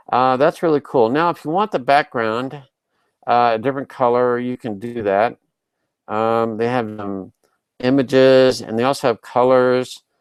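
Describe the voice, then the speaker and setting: A plain, everyday voice from a man at a medium pitch, with a moderate pace and ordinary pitch variation, in a dry, close sound with no echo over a quiet background. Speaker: online marketing tutor. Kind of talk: tutorial. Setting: live video broadcast.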